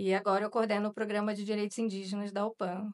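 A woman against a quiet background. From Rio de Janeiro, Brazil. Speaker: journalist. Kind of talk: interview. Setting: studio. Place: studio. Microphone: studio mic.

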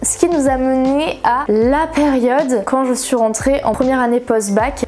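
A high-pitched woman speaks with ordinary pitch variation over light background noise. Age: 20s. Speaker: manga YouTuber; manga youtuber. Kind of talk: casual vlog chat. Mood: encouraging, earnest. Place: home room.

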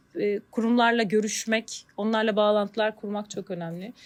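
Her pitch fairly high, a woman talks in a normal speaking voice at a fairly slow pace with ordinary pitch variation. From Turkey, Bandırma. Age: 40s. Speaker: marketing manager. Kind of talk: interview.

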